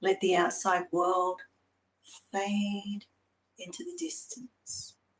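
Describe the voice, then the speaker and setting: Calm and soothing, a woman speaks at a very slow pace in a somewhat breathy voice. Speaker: spoken word artist and guided meditation facilitator. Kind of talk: guided meditation, poetic spoken word. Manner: slow, calm, soothing.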